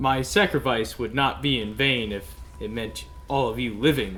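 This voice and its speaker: In a put-on character voice, a man speaks at medium pitch and a moderate pace with ordinary pitch variation, over clear background noise. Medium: actual play. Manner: earnest, solemn.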